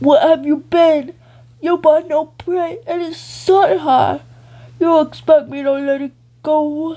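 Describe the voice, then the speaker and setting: Someone uses a put-on character voice at a high pitch. The delivery is fairly slow. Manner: furious, accusing.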